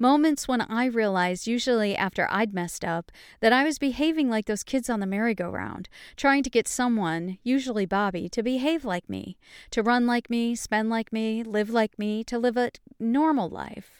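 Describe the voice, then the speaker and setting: A woman with an American accent talks in an ordinary speaking voice at a fairly high pitch, with ordinary pitch variation and a moderate pace, in a dry, close sound with no echo on a very clean recording with a silent background. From upstate New York. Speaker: podcast host and memoir author. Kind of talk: reading aloud from own memoir; personal storytelling monologue.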